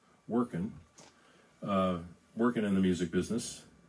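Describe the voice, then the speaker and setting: A man with an American accent at a moderate pace. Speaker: singer-songwriter. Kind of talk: casual live-stream chat between songs. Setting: Facebook live stream. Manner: halting, many fillers and repeats.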